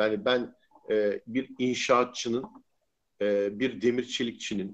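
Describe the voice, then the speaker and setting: Very slowly, a man speaks with medium pitch and fairly even intonation. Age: 50s. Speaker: futurist columnist and blogger. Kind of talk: live-stream interview. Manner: hesitant, many fillers.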